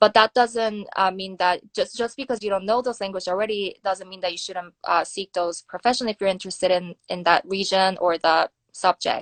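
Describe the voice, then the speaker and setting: The speaker has a Korean accent and fairly even intonation, talking at a fairly quick pace with hardly any pauses. The sound is dry and close, with no echo. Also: woman, medium pitch for a woman. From South Korea. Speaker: nuclear security researcher. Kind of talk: interview. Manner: hesitant, many fillers.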